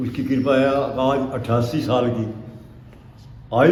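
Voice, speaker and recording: Amid noticeable background noise and audible room echo, a man speaks at a medium pitch with monotone, flat intonation. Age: 80s+. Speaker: retired agriculture official and yoga teacher. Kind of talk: interview.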